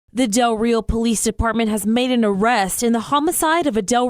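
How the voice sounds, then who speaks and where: A woman's voice with lively intonation. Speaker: radio news anchor. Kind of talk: radio newscast delivery.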